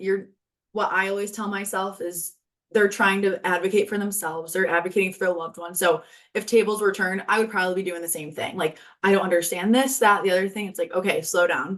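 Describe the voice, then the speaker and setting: This woman talks at a very fast pace in a medium pitch. Her intonation stays fairly even. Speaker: healthcare administrator in training. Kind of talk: interview. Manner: loud; projecting voice.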